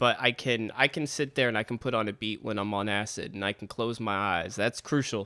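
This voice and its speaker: A man speaks loudly at a fairly quick pace. His tone is bright and sharp. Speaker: podcast host; rapper. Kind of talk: casual chat. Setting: video call.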